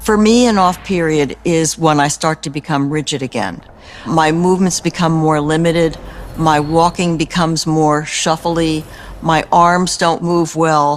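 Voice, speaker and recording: Noticeable background noise runs under words delivered at a fairly slow pace. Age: 70s. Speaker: person living with Parkinson's. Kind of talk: interview testimony in film.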